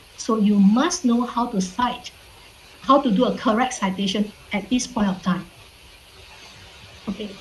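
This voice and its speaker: Long, frequent pauses break up a woman's speech at a moderate pace, with a non-native accent and ordinary pitch variation. Her pitch is fairly high, and background noise is noticeable. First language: not English. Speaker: university lecturer. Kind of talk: online lecture. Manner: frequent fillers, repeats okay.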